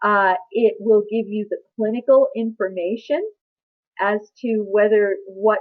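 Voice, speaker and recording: A woman with an ordinary speaking voice, fairly high in pitch and fairly even in intonation, at a fairly slow pace. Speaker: medical billing trainer. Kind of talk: webinar presentation. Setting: online webinar.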